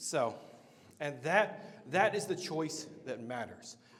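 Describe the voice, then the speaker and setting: Amid audible room echo, a man with an American accent speaks in an animated tone at a fairly high pitch, fairly slowly, with lively intonation. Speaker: meetup host and marketer. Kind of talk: live event talk. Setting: stage with audience. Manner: loud.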